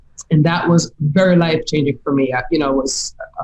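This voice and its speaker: The voice moves at a fairly quick pace, with a Jamaican accent. It sounds somewhat breathy, and the intonation stays fairly even. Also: woman. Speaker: business coach. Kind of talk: interview. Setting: podcast.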